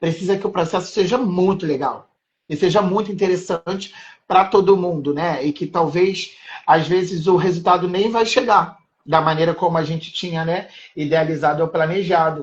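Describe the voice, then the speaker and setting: A man is speaking. His pitch is high. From Rio de Janeiro, Maré favelas. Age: 30s. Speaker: art educator. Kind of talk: casual interview chat.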